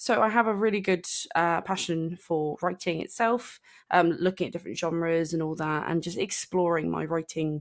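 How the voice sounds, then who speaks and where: A woman with a southern English accent, fairly low in pitch, with ordinary pitch variation at a moderate pace, in a very clean recording over a silent background. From southern England, Southampton. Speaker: podcast co-host. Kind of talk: casual chat. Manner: hesitant, many fillers.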